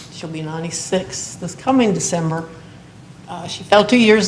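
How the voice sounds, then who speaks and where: A somewhat breathy woman with an American accent, with audible room echo. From Morgantown, West Virginia. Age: 60s. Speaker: retired teacher and coach, resident applicant. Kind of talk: public hearing testimony. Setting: municipal board meeting.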